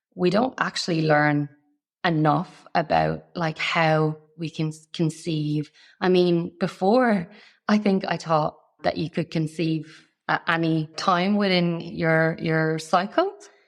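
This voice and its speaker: Using an Irish accent, a woman speaks at a very slow pace. Her voice is fairly low for a woman, with fairly even intonation. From Ireland. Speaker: fertility nutritionist. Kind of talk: interview.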